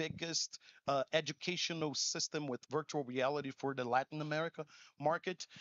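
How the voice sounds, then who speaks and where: With a Portuguese accent, a man speaks in a fairly high voice and an animated tone. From Brazil. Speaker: conference speaker. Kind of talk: keynote talk. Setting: stage with audience.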